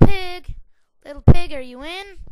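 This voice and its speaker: A put-on character voice at an extremely high pitch, delivered at a moderate pace. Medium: read story. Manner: confiding, persuasive.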